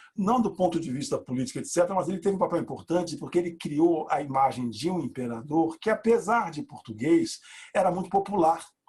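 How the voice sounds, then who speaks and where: At a fairly quick pace, a man with a high pitch swings his voice very widely. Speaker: university professor. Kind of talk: lecture. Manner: fast; animated.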